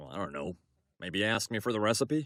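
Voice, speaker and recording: In a cartoonish character voice, a man speaks at a fairly low pitch and a fairly quick pace. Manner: earnest, straightforward.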